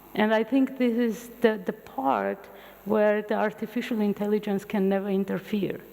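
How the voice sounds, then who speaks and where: Fairly high-pitched, a woman talks at a moderate pace with fairly even intonation. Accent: Armenian. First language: Armenian. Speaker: physician and futurist lecturer. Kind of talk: public lecture. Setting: university lecture hall with audience.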